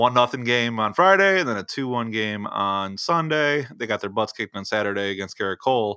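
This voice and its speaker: Bright, sharp tone from a man, very clean recording, silent background. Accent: American. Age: 30s. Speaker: baseball podcaster. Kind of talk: casual chat. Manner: halting, many restarts and fillers.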